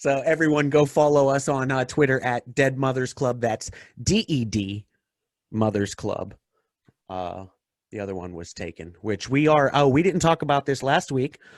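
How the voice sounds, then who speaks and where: A man talks in an ordinary speaking voice at a medium pitch, with a dry, close sound and no echo. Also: lively intonation, moderate pace. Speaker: stand-up comedian. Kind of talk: casual chat.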